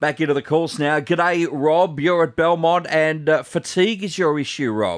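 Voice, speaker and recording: A man with an Australian accent speaks at a moderate pace in a fairly high pitch, with ordinary pitch variation and hardly any pauses, on a very clean recording with a silent background. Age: 30s. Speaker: radio host. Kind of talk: radio talkback hosting. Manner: jovial.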